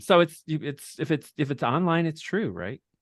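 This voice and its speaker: In a dry, close recording with no echo and a quiet background, a man speaks at a fairly high pitch with vocal fry. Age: 60s. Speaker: drag nun performer and activist. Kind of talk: interview. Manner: casual, many fillers.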